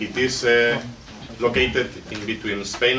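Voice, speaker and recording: The voice has fairly even intonation, with noticeable background noise and audible room echo. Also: man. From Basque Country. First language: Basque or Spanish. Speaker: doctoral researcher and political activist. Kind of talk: seminar speech. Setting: seminar with audience. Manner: halting, with repetitions and self-corrections.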